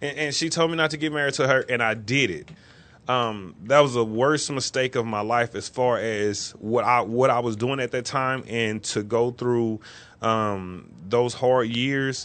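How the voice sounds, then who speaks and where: In an unremarkable speaking voice, a man talks at a fairly slow pace and medium pitch, with ordinary pitch variation. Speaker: co-host. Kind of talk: casual chat. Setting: studio.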